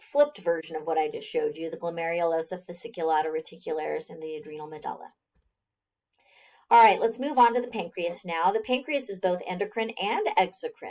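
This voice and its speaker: This is a normal speaking voice at a moderate pace. It carries ordinary pitch variation. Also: woman. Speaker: biology instructor. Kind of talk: lecture. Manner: conversational, with fillers.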